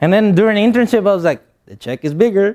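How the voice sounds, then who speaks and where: This man speaks at a very fast pace with a Spanish accent. His voice is high-pitched, with ordinary pitch variation. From Guatemala. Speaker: motivational speaker. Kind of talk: motivational speech.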